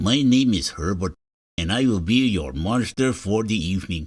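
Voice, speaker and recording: Putting on a character voice, a man sounds raspy and breathy at a fairly low pitch and a moderate pace. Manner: polite, formal.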